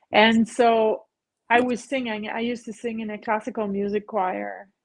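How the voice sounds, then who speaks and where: This woman talks at a moderate pace with a fairly high pitch. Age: 50s. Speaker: massage therapist. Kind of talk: casual interview chat.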